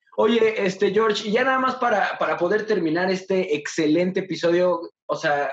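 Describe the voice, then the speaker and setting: In a Mexican accent, a man speaks at a high pitch and a moderate pace with ordinary pitch variation. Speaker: podcast host. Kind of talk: casual interview. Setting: video call.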